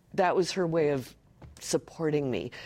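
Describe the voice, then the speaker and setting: A woman speaks with an American accent. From US West Coast, Los Angeles. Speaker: presentation coach. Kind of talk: interview conversation.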